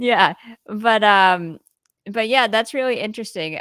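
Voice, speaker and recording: In an American accent, a woman talks at a moderate pace in a medium pitch with ordinary pitch variation and an unremarkable speaking voice. The recording is very clean, with a silent background. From United States. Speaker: podcast host. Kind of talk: interview. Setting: live stream.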